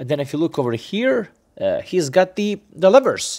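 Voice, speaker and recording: All is quiet in the background. The pace of speaking is moderate. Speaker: cycling channel host. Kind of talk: tutorial. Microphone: phone near.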